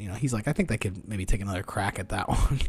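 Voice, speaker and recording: A somewhat breathy male voice. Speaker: podcast host. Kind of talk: casual chat. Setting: remote recording, call.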